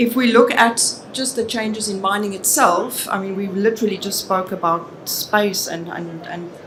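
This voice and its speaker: A woman with a South African accent speaks at a moderate pace and medium pitch with ordinary pitch variation. Audible room echo and noticeable background noise surround her voice. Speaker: business consultant. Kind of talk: conference presentation.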